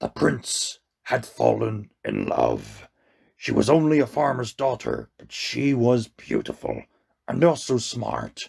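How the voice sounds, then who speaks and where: A man puts on a character voice. It is raspy and sits at medium pitch. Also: fairly slow pace. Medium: read story. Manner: solemn, measured, commanding.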